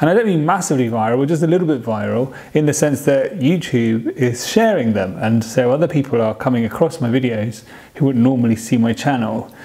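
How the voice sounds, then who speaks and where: With a British accent, a man speaks using ordinary pitch variation. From United Kingdom. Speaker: vlogger. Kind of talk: casual vlog talk. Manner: halting.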